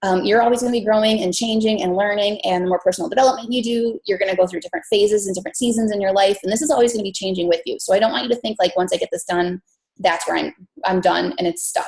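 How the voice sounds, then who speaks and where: In an American accent, a woman speaks at a very fast pace. Her voice is medium in pitch with ordinary variation. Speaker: fitness business coach. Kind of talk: team call presentation.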